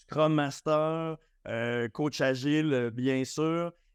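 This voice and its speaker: With a Quebec accent, a man with a fairly high pitch speaks at a very slow pace, his pitch varying in an ordinary way, the sound dry and close with no echo over a quiet background. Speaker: agile coach. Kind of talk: conference talk. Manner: animated; halting.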